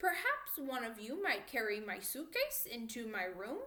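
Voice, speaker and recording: Using a put-on character voice that is high-pitched and wheezy, a woman speaks at a moderate pace with audible echo. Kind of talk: formal, affected. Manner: imperious, self-satisfied.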